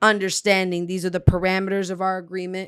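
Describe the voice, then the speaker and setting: The delivery is very fast and flat, in a monotone. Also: woman. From South Florida (Broward), Dominican family. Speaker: poet and host. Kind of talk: casual interview chat.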